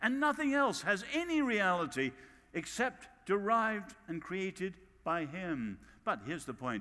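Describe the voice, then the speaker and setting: A man projects a raised voice with a high pitch and a bright, sharp tone, moving at a fairly slow pace through very wide pitch swings. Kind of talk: sermon.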